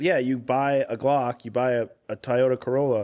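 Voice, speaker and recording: Medium in pitch, a man speaks with a Midwestern US accent. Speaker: firearms channel host. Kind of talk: casual chat. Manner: casual with many fillers.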